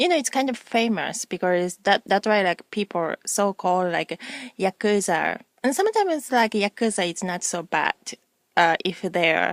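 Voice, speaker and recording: Speaking with a Japanese accent, a woman keeps a moderate pace, medium pitch and ordinary pitch variation, in dry, close sound with no echo. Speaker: video blogger. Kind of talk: casual vlog monologue. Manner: halting, many fillers.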